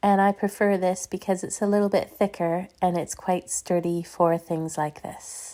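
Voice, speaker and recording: The recording is very clean, with a silent background. A woman speaks at medium pitch in a dark, mellow tone. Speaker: card maker. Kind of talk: craft tutorial narration.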